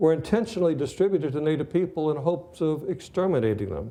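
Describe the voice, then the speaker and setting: A man's fairly high, dark and mellow voice with vocal fry, lively intonation and a fairly quick pace. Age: 80s+. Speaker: history lecturer. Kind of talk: lecture.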